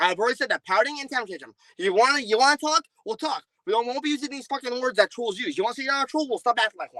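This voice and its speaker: A man talks in a raised, projected voice at an extremely high pitch, very fast, with lively intonation and a bright, sharp tone. The sound is dry and close, with no echo. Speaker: streamer. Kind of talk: heated debate. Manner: loud.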